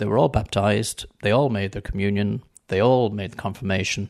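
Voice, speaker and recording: Speaking at a moderate pace, a man uses a fairly low pitch with vocal fry. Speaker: non-believer interviewee. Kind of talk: personal testimony in a radio interview. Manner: earnest; firm, reflective.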